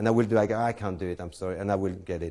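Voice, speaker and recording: Speaking at a very fast pace, a man has a dark, mellow tone and a French accent. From France. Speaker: close-up magician. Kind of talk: lecture. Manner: halting.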